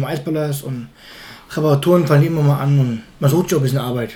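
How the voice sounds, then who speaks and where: Noticeable background noise surrounds a man with a fairly high pitch. He speaks at a fairly quick pace with fairly even intonation. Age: 30s. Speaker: fairground showman. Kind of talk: casual interview. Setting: home kitchen. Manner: halting.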